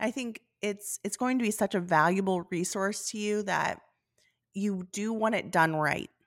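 An unremarkable speaking voice from a woman at medium pitch, fairly slow and fairly even, on a very clean recording with a silent background. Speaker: flower farmer and podcast host. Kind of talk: casual chat.

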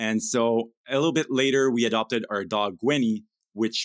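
A man at medium pitch talks with fairly even intonation in a dry, close sound with no echo. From Quebec, Canada (Gatineau). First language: French. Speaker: part-time pet photographer. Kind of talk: podcast interview.

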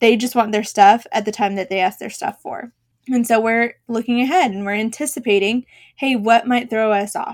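On a very clean recording with a silent background, a woman with an American accent and a normal speaking voice talks at a moderate pace, her fairly high pitch showing ordinary variation. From Boston, Massachusetts. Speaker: podcast host and rental business owner. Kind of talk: educational business podcast monologue. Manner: conversational, explanatory.

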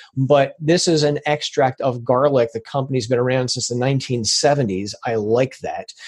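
A man talks at a fairly slow pace with hardly any pauses. His medium-pitched voice is somewhat breathy, with ordinary pitch variation. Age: 50s. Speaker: supplement expert. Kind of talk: interview.

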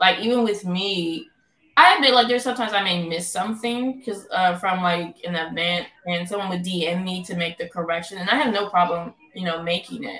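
A woman speaks in a normal speaking voice at a fairly quick pace, with medium pitch and ordinary pitch variation. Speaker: teacher and co-founder. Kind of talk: casual interview chat.

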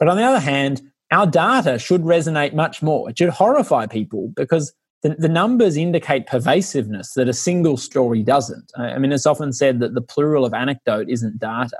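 In an Australian accent, the speaker talks at a fairly quick pace with lively intonation. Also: man, fairly high pitch for a man. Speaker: lawyer and researcher. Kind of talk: interview.

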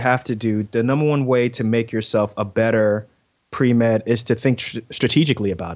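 A man talks at a fairly quick pace in a plain, everyday voice. His pitch is medium, and the background is quiet. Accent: American. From New York City (Queens), Ghanaian parents. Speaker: surgeon and podcaster. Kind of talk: interview. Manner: frequent fillers and repetitions.

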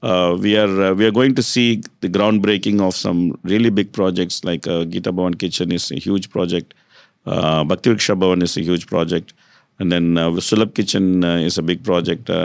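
Over a very clean recording with a silent background, a man with an Indian accent speaks at a moderate pace in a very deep, low pitch, with fairly even intonation. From South India, Tamil Nadu (Kumbakonam). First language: Saurashtra. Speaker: hospital and development manager. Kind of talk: interview. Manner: frequent hesitations (uh, um).

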